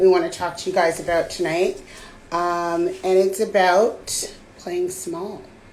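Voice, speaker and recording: A woman at medium pitch, very slow and monotone with flat intonation, audible room echo. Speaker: podcast co-host. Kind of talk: casual chat. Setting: live stream video call.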